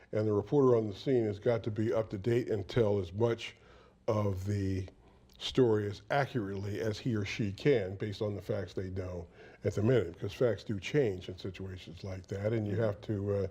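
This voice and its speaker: In a quiet background, a man speaks at a moderate pace and a fairly low pitch with fairly even intonation. His voice is somewhat breathy, with a dark, mellow tone. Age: 70s. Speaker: veteran TV news reporter. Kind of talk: interview.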